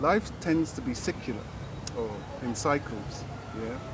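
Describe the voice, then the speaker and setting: With noticeable background noise behind him, a man talks at a moderate pace in a fairly high pitch, his pitch varying in an ordinary way. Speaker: yogi. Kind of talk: interview answer.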